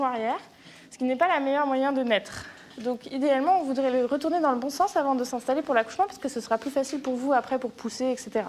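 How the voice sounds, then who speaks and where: A woman speaks at a very fast pace in a high pitch. Noticeable background noise runs under her voice. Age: 20s. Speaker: medical resident in obstetrics and gynecology. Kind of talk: documentary interview and ward recordings.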